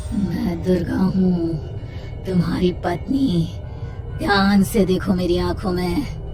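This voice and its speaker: A cartoonish character voice, female-sounding, speaks at a very slow pace. Loud background noise runs underneath. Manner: menacing.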